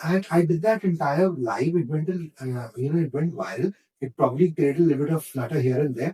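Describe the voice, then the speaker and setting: A man speaks with a dark, mellow tone at a fairly high pitch. He uses ordinary pitch variation and hardly pauses. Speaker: radio jockey and content creator. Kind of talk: podcast interview answer, casual conversation. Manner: animated, storytelling.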